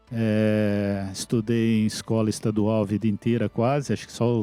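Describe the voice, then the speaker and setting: Over music in the background, a man talks at medium pitch with a dry, close sound and no echo. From Brazil, interior of São Paulo state (Mococa). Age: 60s. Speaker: IT executive. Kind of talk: interview. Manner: hesitant, with filler words.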